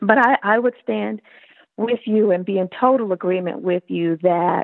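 At a fairly slow pace, a woman speaks in a medium pitch. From US South, South Carolina. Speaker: opera singer and professor. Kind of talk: interview.

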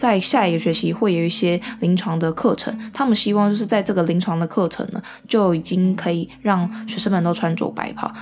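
Music plays in the background while a woman with a Taiwanese accent talks at a fairly quick pace. Her pitch is medium with ordinary variation. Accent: Taiwanese Mandarin. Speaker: podcast host, medical student. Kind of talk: casual solo talk. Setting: at home, also live-streamed.

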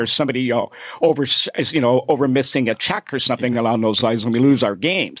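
A man talks at a very fast clip. Noticeable background noise runs underneath. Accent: Canadian. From Canada, Toronto (Scarborough). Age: 60s. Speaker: fill-in sports radio host. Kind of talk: casual sports radio chat. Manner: chatty, repetitive with frequent fillers.

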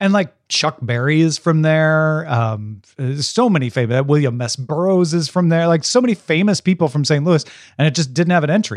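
This man, with a fairly high pitch, uses an ordinary speaking voice and lively intonation at a moderate speed. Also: hardly any pauses. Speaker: podcast host. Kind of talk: casual chat. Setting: remote recording.

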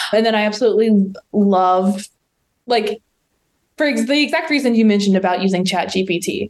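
A woman with an American accent, her pitch fairly high, her loudness very even, her pitch variation ordinary, at a moderate pace. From West Virginia. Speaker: digital marketing professional. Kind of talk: interview conversation.

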